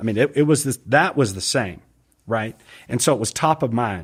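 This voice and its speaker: A man with an American accent speaks in an unremarkable speaking voice at medium pitch, at a fairly quick pace with lively intonation, on a very clean recording with a silent background. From US, raised partly in London and Atlanta. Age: 60s. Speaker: angler and triathlete. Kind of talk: casual chat.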